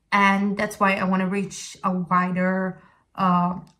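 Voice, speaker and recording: This woman, with an Italian accent, talks at a medium pitch in a flat, monotone delivery. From Italy, Sicily. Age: 20s. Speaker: vlogger. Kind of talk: casual talk to camera. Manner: halting.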